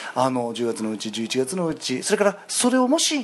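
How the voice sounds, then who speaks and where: A man at a moderate pace, his pitch swinging very widely. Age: 30s. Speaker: stage actor. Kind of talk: casual chat. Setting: restaurant.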